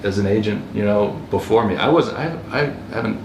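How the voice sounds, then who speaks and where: Over noticeable background noise and audible room echo, a man with an American accent speaks at a moderate pace in a fairly low pitch with ordinary pitch variation. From US East Coast, Baltimore area. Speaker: real estate agent and investor. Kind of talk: podcast interview. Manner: casual, with many fillers and restarts.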